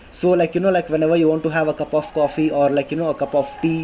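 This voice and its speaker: This man speaks in a South Indian accent. His voice is fairly high, with ordinary pitch variation. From India, Karnataka. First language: Kannada. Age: 20s. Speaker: vlogger. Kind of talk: casual informational talk to camera. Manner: halting, many fillers.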